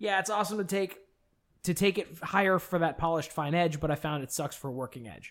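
This man talks at a very fast pace. His pitch is high and varies in an ordinary way. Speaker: podcast co-host. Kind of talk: casual chat.

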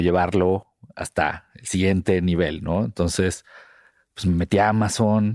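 A man speaks at a very deep, low pitch with fairly even intonation. The sound is dry and close, with no echo, on a very clean recording with a silent background. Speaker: podcast co-host, advertising professional. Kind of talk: casual chat.

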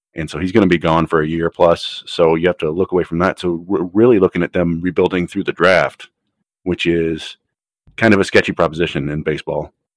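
The speaker has an American accent and a fairly quick pace with fairly even intonation. The sound is dry and close, with no echo. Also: man, very deep, low pitch for a man. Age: 30s. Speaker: baseball podcast host and sports writer. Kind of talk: interview. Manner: halting, many fillers and repetitions.

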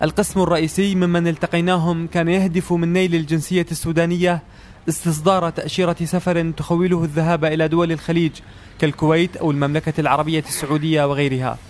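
A man speaks at a moderate pace in a high pitch. His intonation is monotone and flat, and his loudness stays very even. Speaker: radio reporter. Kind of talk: scripted narration.

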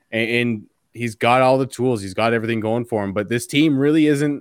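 A man with an unremarkable speaking voice. His pitch is medium, with ordinary variation. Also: dry, close sound with no echo. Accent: Canadian. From Canada. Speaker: hockey writer. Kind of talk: casual chat.

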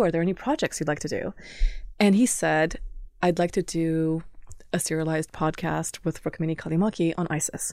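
A woman talks at a fairly quick pace in a fairly low, dark, mellow voice with ordinary pitch variation. The recording is very clean, with a silent background. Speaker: journalist. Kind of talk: interview conversation. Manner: animated.

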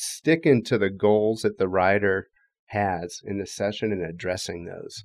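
A man with a normal speaking voice, fairly low in pitch, at a moderate pace. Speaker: bike fitter. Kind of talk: expert panel discussion.

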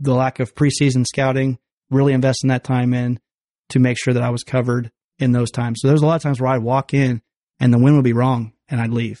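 Against a quiet background, a man with a Midwestern American accent talks at a very fast pace in a dark, mellow tone with monotone, flat intonation. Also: medium pitch for a man, dry, close sound with no echo. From western Illinois, small town. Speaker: hunter. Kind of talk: casual chat. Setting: studio.

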